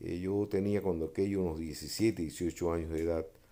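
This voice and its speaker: A man with a Cuban accent, very deep and low in pitch, dark and mellow in tone, fairly even in intonation, on a very clean recording with a silent background. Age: 70s. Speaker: freemason sharing memoirs. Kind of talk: personal testimony monologue. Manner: hesitant, many filler 'eh'.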